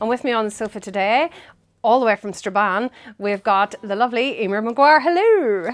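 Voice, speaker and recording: Dry and close with no echo, a woman's fairly high voice moves at a moderate pace with ordinary pitch variation over a quiet background. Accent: Northern Irish. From Northern Ireland, Lurgan. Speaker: music show host. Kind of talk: casual interview. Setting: studio interview on a sofa.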